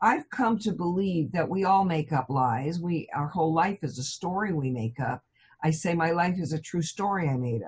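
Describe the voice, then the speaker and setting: A somewhat breathy woman's voice with fairly low pitch. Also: lively intonation, moderate pace. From California, US. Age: 70s. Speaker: hypnotherapist. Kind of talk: interview.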